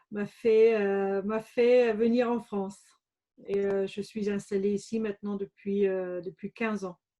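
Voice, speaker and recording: At a very slow pace, a woman with a slight German accent speaks at a medium pitch in a monotone, flat intonation, her tone dark and mellow, the sound dry and close with no echo. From Germany, Bavaria (Regensburg). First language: German (speaking French). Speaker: entrepreneur, former business lawyer. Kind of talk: interview. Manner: hesitant, many fillers.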